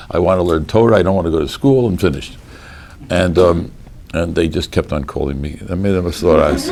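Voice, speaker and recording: Very deep and low, a man's voice with an American accent races at a very fast pace with ordinary pitch variation, with audible room echo and noticeable background noise. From US Northeast (Boston). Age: 60s. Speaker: rabbi, Talmudic law scholar. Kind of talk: lecture. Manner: animated.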